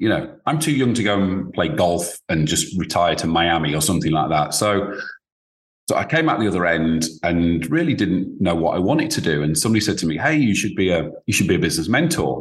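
With a British accent, a man speaks fairly quickly in a very deep, low voice, his intonation lively and his loudness very even. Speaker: business advisor, former founder. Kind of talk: interview. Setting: video call.

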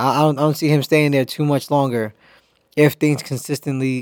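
A man speaks at a very fast pace at a medium pitch. The recording is very clean, with a silent background. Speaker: sports podcast host. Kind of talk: casual solo sports commentary. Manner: animated.

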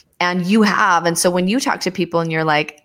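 With fairly low pitch and ordinary pitch variation, a woman speaks in an enthusiastic tone. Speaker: podcast host. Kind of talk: casual interview chat.

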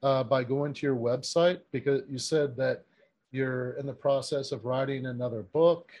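A normal speaking voice delivers its words at a moderate pace with fairly even intonation. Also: man, medium pitch for a man. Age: 40s. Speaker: podcast host. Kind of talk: interview. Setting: remote call.

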